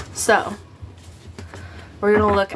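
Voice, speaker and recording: With noticeable noise around her, a woman talks in a medium pitch. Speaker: tarot reader. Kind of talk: tarot reading. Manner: casual, filler-heavy.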